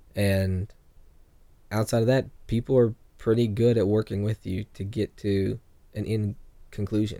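A man with an American accent speaks at a moderate pace in a fairly low, dark, mellow voice, with monotone intonation and long, frequent pauses. The sound is dry and close with no echo, on a very clean recording with a silent background. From California. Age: young. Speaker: evangelist. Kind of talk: casual chat.

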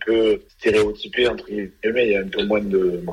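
Noticeable background noise sits behind this voice. A man talks at a moderate pace. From southwest France, Gironde (Langon). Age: 30s. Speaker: retired rugby player. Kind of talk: radio interview.

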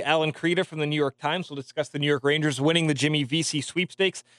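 At a fairly quick pace, a man talks in a fairly high pitch, the sound dry and close with no echo. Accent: Canadian. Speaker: radio sports host. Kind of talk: radio DJ patter, upbeat sports-show banter and quick-fire updates. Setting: studio. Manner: animated, fast, friendly, chatty.

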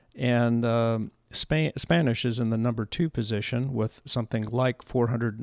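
Fairly slow speech in a Californian accent, with fairly even intonation and a dry, close sound with no echo. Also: man. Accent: General American (California). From US West Coast, San Diego area. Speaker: podcast host, retired businessman. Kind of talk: casual chat.

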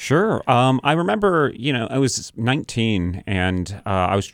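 A man with an American accent and a normal speaking voice, fairly low in pitch, with lively intonation. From New Hampshire, US (Sandown). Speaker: film director. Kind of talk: interview. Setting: radio studio.

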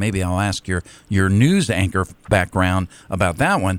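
A man talks at a moderate pace with a fairly low pitch. He has a plain, everyday voice. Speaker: radio co-host. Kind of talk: morning radio chat. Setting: studio.

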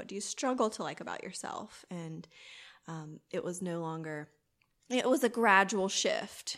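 With lively intonation, a woman speaks in a Southern US accent. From US South, southwest Georgia. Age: 30s. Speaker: boudoir photographer. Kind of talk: casual interview.

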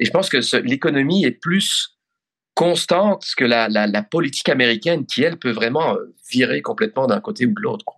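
This man's voice has a fairly high pitch with very wide pitch swings. His loudness stays very even in a dry, close sound with no echo. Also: moderate pace. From Belgium (Brussels). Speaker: foreign correspondent journalist. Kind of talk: interview. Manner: halting, repeats words.

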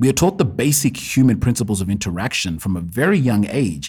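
Using vocal fry, a man speaks at a medium pitch with very wide pitch swings. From Kenya. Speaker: podcast host. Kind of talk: solo podcast monologue.

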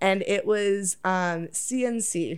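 A woman speaks in a Toronto accent at a medium pitch with ordinary pitch variation. The recording is very clean, the background silent. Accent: Canadian (Toronto area). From Oakville, Ontario, Canada. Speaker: adult content creator. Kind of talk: casual chat.

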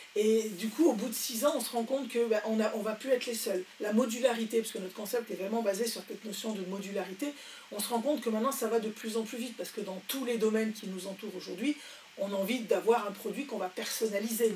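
Over noticeable background noise, a woman talks very fast at a fairly high pitch with fairly even intonation. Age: 60s. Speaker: entrepreneur. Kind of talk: interview. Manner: hesitant.

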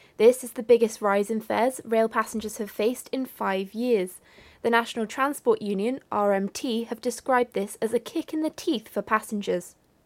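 A woman's fairly high voice with a British accent. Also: ordinary pitch variation, moderate pace, very clean recording, silent background. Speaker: radio newsreader. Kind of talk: radio news bulletin read from a script. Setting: radio studio broadcast. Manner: crisp, formal, steady and neutral; brisk, measured, businesslike pace.

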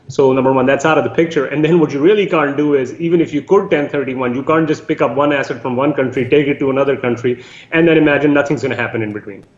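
Over noticeable background noise, a man with a fairly high pitch talks at a very fast pace with hardly any pauses. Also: ordinary pitch variation. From Canada. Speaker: real estate syndicator. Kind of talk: interview.

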